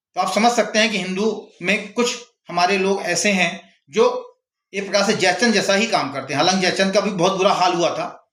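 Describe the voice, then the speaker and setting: In a room with audible echo, a man speaks at a high pitch. His intonation is fairly even and his pace moderate. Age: 60s. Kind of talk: opinion monologue. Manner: impassioned.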